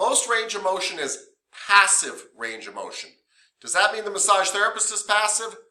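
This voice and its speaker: A man's high, raised and projected voice in a monotone, flat intonation. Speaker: massage therapy instructor. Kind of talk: lecture. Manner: loud; casual, conversational.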